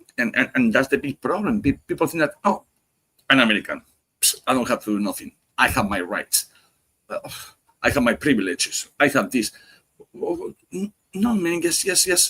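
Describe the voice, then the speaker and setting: A man speaks at a fairly high pitch in a bright, sharp voice with vocal fry and very wide pitch swings. He takes long, frequent pauses, and the sound is dry and close with no echo. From Spain. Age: 50s. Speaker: cigar podcast guest. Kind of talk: casual chat. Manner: fast; animated.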